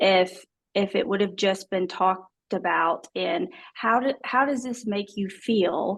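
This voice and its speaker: A woman with an Alabama accent speaks at a medium pitch with ordinary pitch variation. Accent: Southern US (Alabama). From US South, small-town Alabama. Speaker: adoptee guest. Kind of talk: interview testimony.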